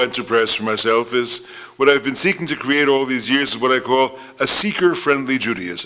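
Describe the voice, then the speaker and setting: Noticeable background noise accompanies a man speaking at a medium pitch and fairly quick pace, with ordinary pitch variation. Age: 70s. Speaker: rabbi and theologian. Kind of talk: lecture.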